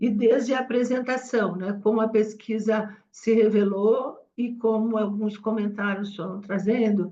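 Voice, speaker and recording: A woman's fairly high voice in a dark, mellow tone, monotone and flat, at a fairly slow pace with hardly any pauses. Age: 70s. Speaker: cause communication professional. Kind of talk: meeting discussion remarks.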